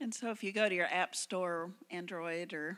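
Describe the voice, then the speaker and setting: A woman speaks in a Southern US accent at a moderate pace. Her pitch is fairly low with ordinary variation, and the recording is very clean with a silent background. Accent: US South. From Memphis, Tennessee. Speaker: missionary. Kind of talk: missionary testimony to congregation. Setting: church service.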